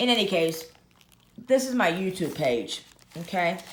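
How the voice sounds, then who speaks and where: Audible room echo around a woman's fairly low voice, moderately paced. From Russia. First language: Russian. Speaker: YouTuber, planner and luxury goods vlogger. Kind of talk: casual tutorial show-and-tell. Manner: casual, halting with fillers.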